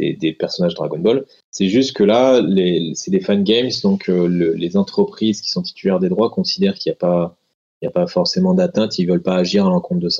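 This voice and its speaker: Speaking at a fairly quick pace, a man with a medium pitch and a dark, mellow tone moves through very wide pitch swings. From France, Grenoble. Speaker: intellectual property lawyer. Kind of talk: interview.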